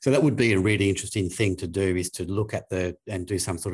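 With an Australian accent, a man speaks at a fairly quick pace in a very deep, low pitch that is somewhat breathy, with fairly even intonation, a quiet background and a dry, close sound with no echo. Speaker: infection prevention specialist, podcast co-host. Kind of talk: casual professional discussion. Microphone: new desk microphone.

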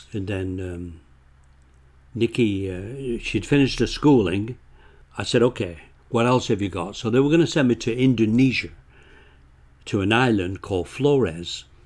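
A man with a Lancashire accent at a moderate pace, with long, frequent pauses, in a very clean recording with a silent background. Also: medium pitch for a man, ordinary pitch variation. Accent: northern English (Lancashire). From northern England. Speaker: author. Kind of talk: casual interview chat.

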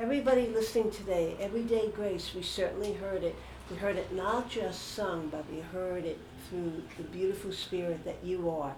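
With an American accent, a woman talks at medium pitch and a moderate pace, her pitch varying in an ordinary way, over noticeable background noise. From New York. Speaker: religious sister and podcast host. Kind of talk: casual interview.

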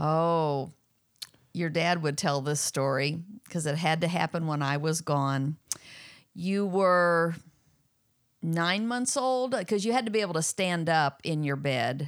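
A woman with a fairly low pitch speaks at a fairly slow pace with lively intonation and long, frequent pauses. Her loudness is very even, on a very clean recording with a silent background. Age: 60s. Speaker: host's mother. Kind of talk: casual Q&A.

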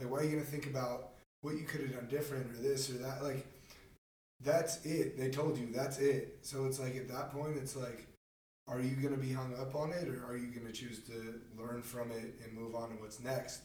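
A man with an American accent at a medium pitch, moderate pace and fairly even intonation, in audible room echo. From Marin County, California. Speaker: podcast host, college athlete. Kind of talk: interview.

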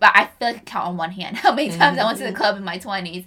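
The speaker is a woman with a medium pitch. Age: 30s. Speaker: podcast co-host. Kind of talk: casual chat. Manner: laughs often.

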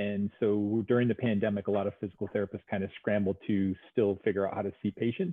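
A man with a New York accent, fairly low in pitch, very fast and monotone with flat intonation. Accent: American (New York). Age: 50s. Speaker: physical therapist. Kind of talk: casual interview.

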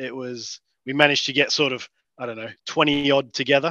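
Recorded dry and close with no echo against a quiet background, a man with an Australian accent speaks at a moderate pace in a fairly high pitch, his tone bright and sharp and his intonation fairly even. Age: 30s. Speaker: amateur Australian rules footballer. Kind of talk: casual interview.

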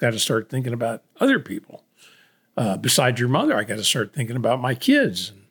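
The man's pitch is medium and his voice somewhat breathy. He speaks at a moderate pace. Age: 70s. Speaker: podcast co-host, father. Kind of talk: casual chat.

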